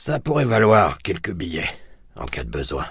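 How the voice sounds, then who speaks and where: A put-on character voice rumbles along. Its intonation is lively. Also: man. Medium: read story. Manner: grumbling, irritable.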